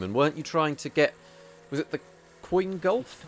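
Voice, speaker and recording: Music plays in the background as a man talks with a southern English accent. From southern England. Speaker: video game speedrunner and streamer. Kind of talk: casual live-stream chat while gaming. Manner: hesitant, repeats words.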